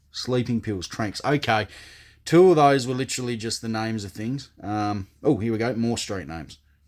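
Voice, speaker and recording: A man with an Australian accent speaks at a moderate pace in a medium pitch, with ordinary pitch variation. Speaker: comedian. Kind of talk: casual talk to camera. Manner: casual, profane, joking.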